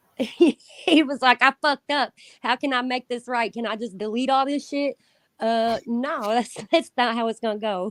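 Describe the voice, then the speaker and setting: In a dry, close sound with no echo, a woman with a Southern accent speaks at a moderate pace in a high voice with ordinary pitch variation. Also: very clean recording, silent background. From Indiana. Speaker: predator catcher. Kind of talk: casual chat.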